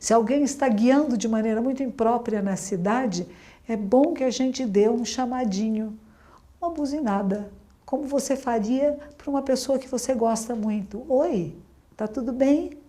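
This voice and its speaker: A woman speaks at a high pitch with a dark, mellow tone and ordinary pitch variation, and audible echo fills the room. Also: moderate pace. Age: 60s. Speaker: Zen Buddhist nun. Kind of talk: dharma talk. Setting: room with audience, being filmed.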